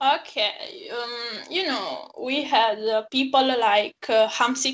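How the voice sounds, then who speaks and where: Over a quiet background, a woman with an Italian accent speaks very slowly in a bright, sharp tone, fairly high in pitch and fairly even in intonation. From Naples, Italy. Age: 20s. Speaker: football fan guest. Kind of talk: casual chat. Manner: halting.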